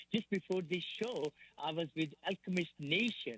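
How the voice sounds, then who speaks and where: A man with a non-native accent. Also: dry, close sound with no echo. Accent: noticeable foreign. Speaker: real estate investor and educator. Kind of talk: radio interview. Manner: enthusiastic, repetitive.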